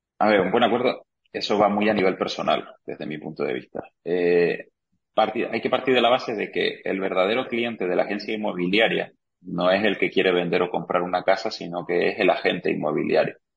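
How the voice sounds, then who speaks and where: Fairly quick in pace, a man with a fairly low pitch speaks with ordinary pitch variation. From Argentina. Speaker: real estate agent. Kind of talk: interview.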